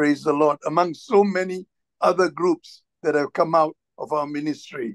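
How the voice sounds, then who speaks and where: A man at a fairly high pitch and moderate pace, ordinary pitch variation, dry sound without echo over a quiet background. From Singapore. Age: 60s. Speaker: church minister. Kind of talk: sermon. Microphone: video call.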